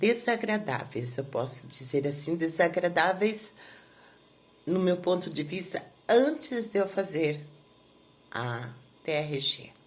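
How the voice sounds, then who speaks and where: Lively intonation, a somewhat breathy quality, and long, frequent pauses. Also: woman. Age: 60s. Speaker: therapy client giving a testimonial. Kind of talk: testimony. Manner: halting, many filler pauses.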